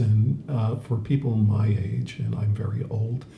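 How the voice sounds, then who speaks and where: Audible room echo surrounds a man who speaks fairly slowly with a fairly low pitch and fairly even intonation. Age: 70s. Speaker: podcast co-host. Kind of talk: casual chat. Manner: halting, many fillers.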